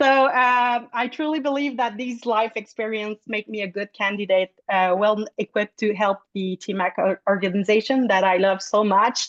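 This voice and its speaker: In a Quebec accent, a woman with a fairly high pitch and ordinary pitch variation talks at a moderate pace with hardly any pauses, in a dry, close sound with no echo. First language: French. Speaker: food blogger and board candidate. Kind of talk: candidate speech. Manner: halting.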